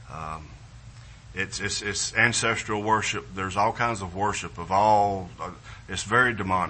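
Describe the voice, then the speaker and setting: A man speaks with an American accent and a fairly low pitch. Audible room echo surrounds his voice. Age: 50s. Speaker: missionary. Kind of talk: missionary presentation in church. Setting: church service with congregation. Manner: halting, repetitive, with fillers.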